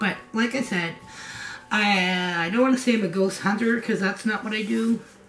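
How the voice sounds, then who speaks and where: A woman speaks at a moderate pace. Music plays in the background, and room echo is audible. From New England, US. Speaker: craft vlogger. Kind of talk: casual vlog. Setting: home kitchen studio. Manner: conversational, rambling with fillers.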